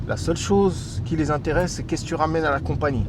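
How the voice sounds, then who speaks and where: Talking at a very fast pace with lively intonation, a man comes through audible room echo and noticeable background noise. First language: English (says he is mostly anglophone), also Darija (speaking French). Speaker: immigration advice youtuber. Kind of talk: casual advice monologue. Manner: hesitant, many fillers and repetitions.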